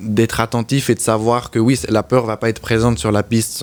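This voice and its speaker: Here a man with a slight Swiss French accent talks at a fairly quick pace. His intonation is monotone and flat. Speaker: motorcycle racer. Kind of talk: interview.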